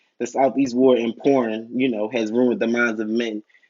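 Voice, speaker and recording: A man talks at a fairly quick pace and medium pitch. He has an ordinary speaking voice. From Philadelphia, US. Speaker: YouTube TV reviewer. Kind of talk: casual video review monologue. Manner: rambling with many fillers.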